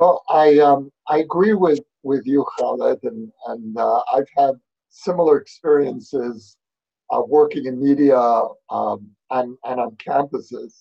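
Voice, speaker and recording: A fairly high-pitched man's voice in a New York accent, with ordinary pitch variation. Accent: New York American. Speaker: author and fellow at research institute. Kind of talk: panel discussion. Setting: video call.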